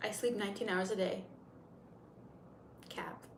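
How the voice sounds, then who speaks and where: Over noticeable background noise and audible room echo, a woman with an American accent speaks at a moderate pace and medium pitch in a monotone, flat intonation. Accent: sounds American. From Turkey, Istanbul. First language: Turkish. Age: 30s. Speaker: makeup livestreamer. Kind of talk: casual livestream chat. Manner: chatty, rambling.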